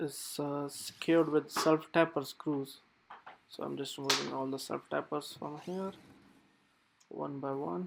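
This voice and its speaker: Speaking at a fairly slow pace with long, frequent pauses, a man uses fairly even intonation at a fairly high pitch. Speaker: HVAC technician. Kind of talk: casual on-the-job explanation. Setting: construction site.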